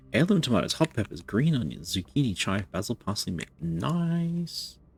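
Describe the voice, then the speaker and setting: Over a very clean recording with a silent background, a man with an Australian accent speaks at a moderate pace in a medium pitch, somewhat breathy, with very wide pitch swings. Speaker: video game streamer. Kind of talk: live gameplay commentary. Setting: live stream.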